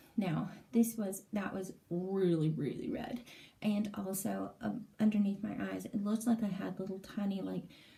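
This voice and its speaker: A woman speaks at a medium pitch with ordinary pitch variation. Noticeable background noise runs behind her. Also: moderate pace. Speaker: vlogger. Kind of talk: casual vlog update. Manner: hesitant, many fillers.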